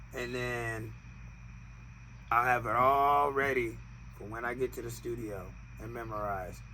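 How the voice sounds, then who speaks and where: Fairly slow speech with audible room echo. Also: man. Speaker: podcast co-host, rapper. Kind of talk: casual chat.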